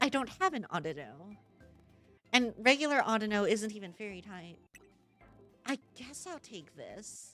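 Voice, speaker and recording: A woman with fairly high pitch and very wide pitch swings, at a moderate pace with long, frequent pauses and big swings in loudness, over music in the background. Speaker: streamer playing a video game. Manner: hesitant, stammering when flustered.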